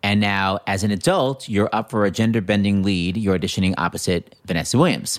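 A man speaks in an unremarkable speaking voice at a fairly low pitch with ordinary pitch variation. His loudness is very even, with hardly any pauses. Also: fairly quick pace. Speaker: podcast host. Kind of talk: casual interview.

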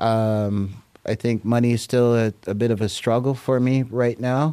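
A man with a dark, mellow tone and medium pitch talks at a fairly slow pace with fairly even intonation. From Jamaica. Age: 60s. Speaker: hip-hop DJ and rapper. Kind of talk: interview.

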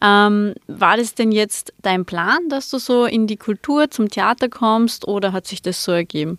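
The speaker has an ordinary speaking voice and talks at a fairly slow pace with ordinary pitch variation. The recording is very clean with a silent background, its sound dry and close with no echo. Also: woman, fairly high pitch for a woman. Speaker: podcast host. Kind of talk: casual interview.

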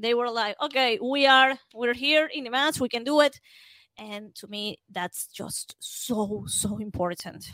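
A woman's high, bright, sharp voice in a Spanish accent, fairly slow, with ordinary pitch variation and big swings in loudness, dry and close with no echo. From Venezuela. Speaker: football podcaster. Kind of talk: casual chat.

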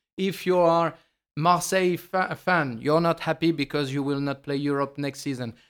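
In a very clean recording with a silent background, a man with a French accent speaks at a fairly high pitch and moderate pace, his intonation fairly even. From France. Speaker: football commentator. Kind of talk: casual chat.

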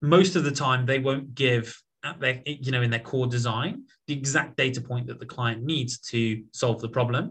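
With a British accent, a man talks at a moderate pace in a medium pitch with ordinary pitch variation. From southern England (Portsmouth). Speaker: tech startup founder and CEO. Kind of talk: interview conversation.

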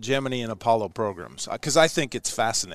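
With an American accent, an ordinary speaking voice moves at a fairly quick pace with ordinary pitch variation over a quiet background. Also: man. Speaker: podcast host, former astronaut. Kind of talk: casual interview. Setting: broadcasting from his hometown.

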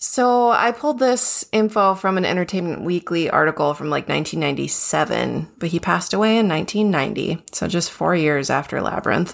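Lively intonation runs through this voice. It is an ordinary speaking voice. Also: woman, fairly low pitch for a woman, moderate pace, hardly any pauses. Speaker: podcast co-host. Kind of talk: casual chat.

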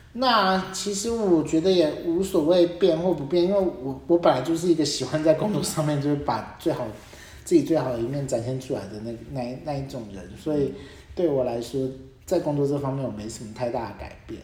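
Over noticeable background noise, the speech moves at a fairly quick pace. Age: 30s. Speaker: podcast host. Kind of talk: casual chat.

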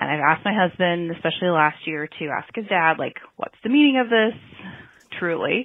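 A woman talks at a fairly quick pace with an American accent and lively intonation. It is an ordinary speaking voice. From US Northwest. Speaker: caller leaving voicemail. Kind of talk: voicemail.

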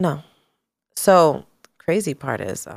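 Speech comes at a very slow pace, with an American accent. Vocal fry runs through the voice. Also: woman. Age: 30s. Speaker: salon owner and entrepreneur. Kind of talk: casual chat.

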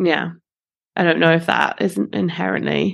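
A woman speaks at a very slow pace with fairly low pitch. Vocal fry runs through her voice. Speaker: podcast co-host. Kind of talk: casual chat.

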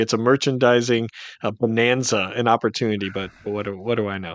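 Over a quiet background, a man with an unremarkable speaking voice talks at a fairly quick pace with ordinary pitch variation. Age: 40s. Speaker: elections analyst and newsletter editor. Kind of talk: casual political discussion.

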